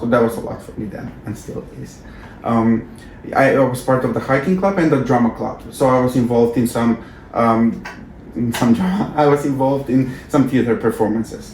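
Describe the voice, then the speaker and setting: A man's medium-pitched voice with a non-native accent, big swings in loudness, ordinary pitch variation, a moderate pace and noticeable background noise. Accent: foreign. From North Macedonia. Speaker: former exchange student, alumni coordinator. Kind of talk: interview. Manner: halting.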